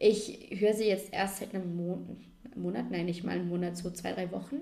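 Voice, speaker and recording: At a moderate pace, a woman talks with audible room echo around her voice. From Austria, Vorarlberg. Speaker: podcast co-host. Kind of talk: casual chat.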